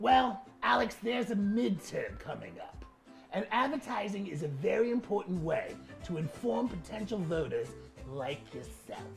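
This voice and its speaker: Over clear music in the background, the speaker uses a put-on character voice. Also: moderate pace. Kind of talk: comedic explainer on social media marketing.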